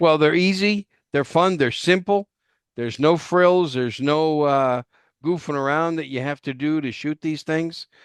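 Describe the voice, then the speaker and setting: A man with an ordinary speaking voice and fairly high pitch speaks at a moderate pace with ordinary pitch variation, recorded with a dry, close sound with no echo against a quiet background. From New York. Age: 60s. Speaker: podcast host. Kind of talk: interview.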